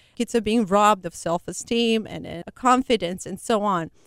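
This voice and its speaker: With a non-native accent and lively intonation, the speaker comes across in a dry, close sound with no echo. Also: woman. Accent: foreign-accented English. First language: not English. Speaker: nonprofit founder. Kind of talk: interview. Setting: studio.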